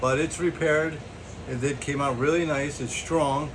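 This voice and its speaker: A man is speaking. Room echo is audible and background noise is noticeable. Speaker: DIY mechanic vlogger. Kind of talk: casual tutorial. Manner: casual, rambling with fillers.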